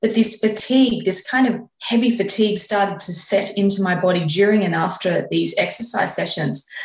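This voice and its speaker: With an Australian accent, a woman at a medium pitch talks at a moderate pace with ordinary pitch variation and hardly any pauses, with audible room echo. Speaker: exercise and lifestyle coach. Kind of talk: interview.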